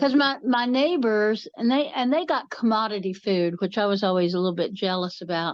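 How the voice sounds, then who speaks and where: With an unremarkable speaking voice, a woman talks at a fairly quick pace with hardly any pauses, a fairly high pitch and lively intonation. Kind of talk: casual podcast conversation.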